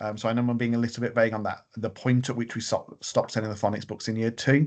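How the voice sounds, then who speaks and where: The background is quiet. A man with a medium pitch speaks at a very fast pace. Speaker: school leader. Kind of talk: parent webinar briefing. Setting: online video meeting. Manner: hesitant, many fillers.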